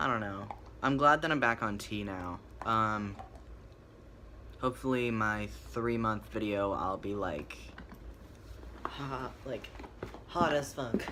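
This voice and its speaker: Fairly low in pitch, a man speaks at a very slow pace with long, frequent pauses. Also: ordinary pitch variation. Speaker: vlogger. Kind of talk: casual chat. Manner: hesitant, many fillers.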